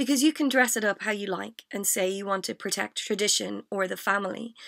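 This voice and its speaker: In an Irish accent, a woman speaks at a moderate pace. Her pitch is fairly high and her intonation lively. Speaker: spoken word poet. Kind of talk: spoken word poetry performance. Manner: comedic, impassioned.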